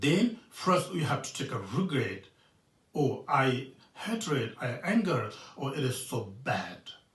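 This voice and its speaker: A man with a Tibetan accent at a very slow pace, with very wide pitch swings and audible room echo. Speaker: Buddhist monk teacher. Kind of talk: dharma teaching. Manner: halting, many fillers.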